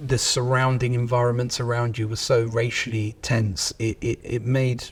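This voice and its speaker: Speaking in a London accent, a man uses a medium pitch with monotone, flat intonation and a somewhat breathy voice. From southeast London, England. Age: 30s. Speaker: company managing director. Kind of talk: interview.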